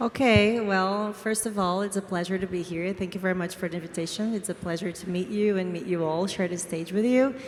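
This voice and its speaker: A woman with a Portuguese accent talks at a fairly quick pace and a medium pitch, with fairly even intonation and hardly any pauses. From Brazil. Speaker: DAO co-founder, former finance professional. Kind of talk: panel discussion.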